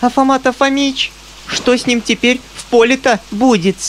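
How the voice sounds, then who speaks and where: A squeaky, put-on character voice at a fairly high pitch and moderate pace, over clear background noise. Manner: worried.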